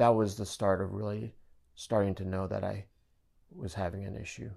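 The recording is very clean with a silent background. A man talks at a moderate pace and fairly low pitch, with fairly even intonation. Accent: American. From US, Japanese American family. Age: 50s. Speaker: father sharing mental health story. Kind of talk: interview testimony.

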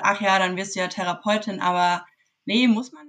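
A woman's unremarkable speaking voice, medium in pitch, with fairly even intonation at a moderate pace. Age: 20s. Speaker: psychology student. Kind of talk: interview.

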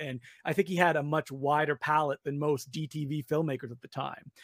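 A man with a fairly high pitch. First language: not English. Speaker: film critic and author. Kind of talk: casual chat. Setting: video call.

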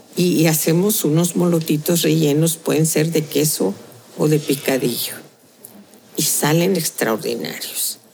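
A woman's very deep, low voice at a fairly slow pace, with very even loudness, ordinary pitch variation and noticeable background noise. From Tehuantepec, Oaxaca, Mexico. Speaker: restaurant owner and chef. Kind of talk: casual interview. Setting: restaurant.

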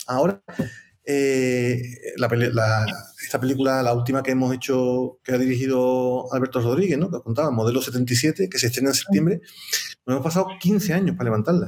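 Here is an ordinary speaking voice, a man's, at medium pitch with ordinary pitch variation. He talks at a fairly quick pace and keeps his loudness very even. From Seville, Andalusia, Spain. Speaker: film producer. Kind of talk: live-streamed interview.

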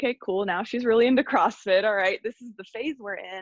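With a normal speaking voice, a woman talks at a fairly high pitch and ordinary pitch variation. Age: 30s. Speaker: breathwork and mindset coach. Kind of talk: casual chat.

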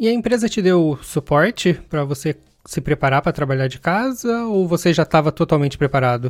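Here a man has an unremarkable speaking voice, fairly high in pitch with lively intonation and a fairly quick pace. The recording is very clean, with a silent background. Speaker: podcast host, software developer. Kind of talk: casual interview.

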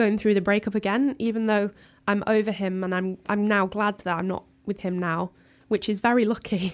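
In a plain, everyday voice at medium pitch, a woman speaks at a moderate pace with fairly even intonation on a very clean recording with a silent background. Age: 20s. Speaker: music journalist. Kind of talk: casual interview.

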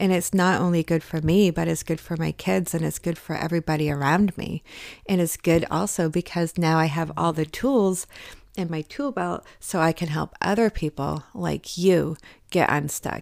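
This woman has an ordinary speaking voice, fairly low in pitch with ordinary variation, at a moderate pace. The very clean recording has a silent background and a dry, close sound with no echo. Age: 40s. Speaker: wellness podcast host. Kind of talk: motivational solo podcast talk. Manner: casual, with filler words.

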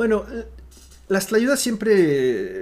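A man's voice with very wide pitch swings. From Oaxaca, Mexico. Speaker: restaurant owner and writer. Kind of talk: casual interview. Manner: halting, many fillers and repetitions.

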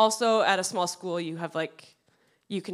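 A woman with an American accent and a medium pitch speaks in an unremarkable speaking voice, her intonation lively. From US Midwest, western Wisconsin. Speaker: church youth ministry staff. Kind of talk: interview before a congregation. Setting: church service with congregation.

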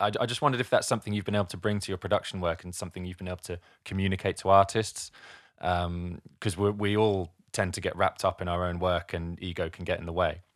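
On a very clean recording with a silent background, a man with very deep, low pitch talks at a very fast pace with fairly even intonation. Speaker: podcast host and music producer. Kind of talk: casual chat.

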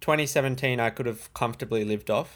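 Recorded very cleanly against a silent background, a man with an Australian accent talks at a medium pitch with fairly even intonation. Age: 20s. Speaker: trading YouTuber. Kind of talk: casual chat.

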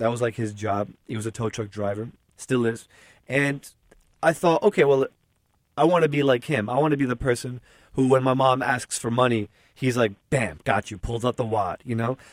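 With an American accent, a man speaks in an unremarkable speaking voice at medium pitch and moderate pace, with ordinary pitch variation and a dry, close sound with no echo. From US Northeast, Newark, New Jersey. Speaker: journalist and podcast host. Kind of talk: casual interview conversation.

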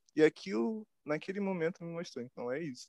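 Speaking at a fairly quick pace, a man swings his pitch very widely in a dark, mellow tone, with a dry, close sound with no echo. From Brazil, Rio de Janeiro West Zone. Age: 20s. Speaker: self-taught visual artist. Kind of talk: interview. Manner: casual slang-heavy.

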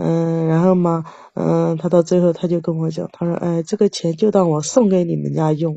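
At a moderate pace, a woman speaks in a monotone with flat intonation. Her pitch is fairly low. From Jiangsu, China. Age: 40s. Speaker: caller seeking relationship advice. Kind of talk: call-in advice conversation.

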